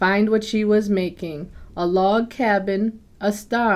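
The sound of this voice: An unforced voice reading, with intonation kept fairly even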